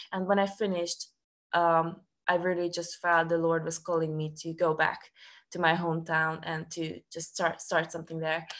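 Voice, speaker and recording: A woman's fairly low voice, monotone and flat, at a moderate pace against a quiet background. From Serbia, Subotica; Serbia. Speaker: student ministry staff worker. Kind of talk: testimony. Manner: halting. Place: home room. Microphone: video call.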